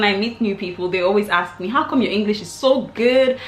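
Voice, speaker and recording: With an American accent and lively intonation, a woman speaks over noticeable background noise. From Nigeria. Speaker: vlogger. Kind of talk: storytime vlog.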